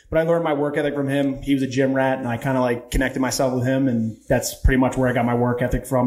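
This man speaks in an American accent. He goes at a very fast pace. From Baltimore, Maryland. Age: 30s. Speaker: podcast guest, coach. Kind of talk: casual chat. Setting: studio, in person. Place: studio. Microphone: studio mic.

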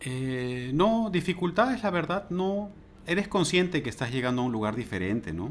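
At a moderate pace, a man talks in a high pitch with very wide pitch swings. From Peru. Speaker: university lecturer. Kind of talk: interview. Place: home room. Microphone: earbuds.

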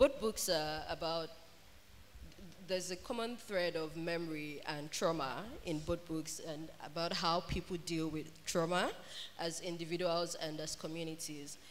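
A woman talks at a moderate pace in an ordinary speaking voice, with ordinary pitch variation. Her loudness swings widely, and light background noise is present. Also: fairly low pitch for a woman. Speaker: festival moderator. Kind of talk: moderated author panel Q&A. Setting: stage with audience. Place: hall. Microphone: handheld.

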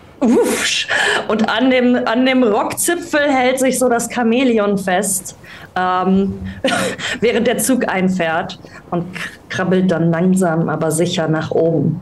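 A woman speaks slowly at a medium pitch with fairly even intonation and few pauses. Room echo is audible.

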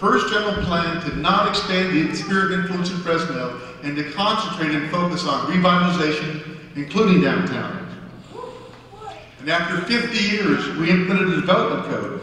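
Amid strong room echo and light background noise, a man with a high pitch talks at a moderate pace. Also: ordinary pitch variation. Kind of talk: public speech. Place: stage. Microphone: podium.

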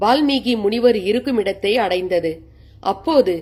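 The speaker uses a natural reading voice.

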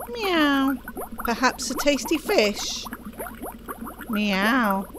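A put-on character voice at a very slow pace, with clear background noise. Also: woman, high pitch for a woman. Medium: game stream.

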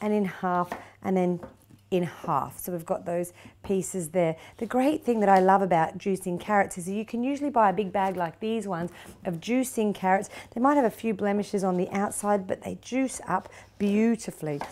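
At medium pitch and a moderate pace, a woman speaks with few pauses, ordinary pitch variation and a slightly mellow tone.

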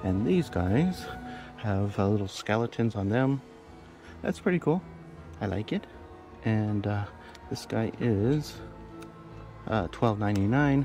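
Against clear music in the background, a man with a fairly low pitch speaks at a fairly slow pace in a dry sound with no echo. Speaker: shopping vlogger. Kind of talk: casual vlog chat. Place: shop. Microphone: phone near.

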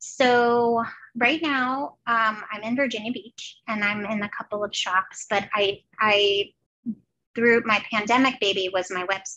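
A woman with an American accent speaks at a fairly slow pace in a fairly high pitch. Her tone is bright and sharp, with light background noise. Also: ordinary pitch variation. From New Jersey. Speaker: artist and former teacher; former teacher. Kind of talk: casual interview chat. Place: home room. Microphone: headset.

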